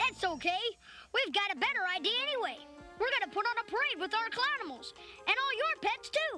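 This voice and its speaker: Clear music plays behind a cartoonish character voice. The voice is extremely high-pitched and moves at a fairly quick pace. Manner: bubbly, eager.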